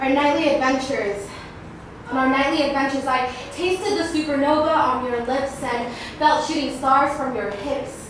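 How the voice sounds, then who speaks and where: A woman's high voice, with ordinary pitch variation, comes through noticeable background noise. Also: moderate pace. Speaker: spoken word poet. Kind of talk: spoken word poetry performance. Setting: live open mic.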